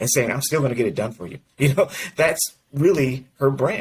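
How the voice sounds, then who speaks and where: The speaker sounds somewhat breathy and moves at a fairly quick pace. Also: man. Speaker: mortgage industry executive and coach. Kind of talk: interview conversation. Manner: mumbles slightly.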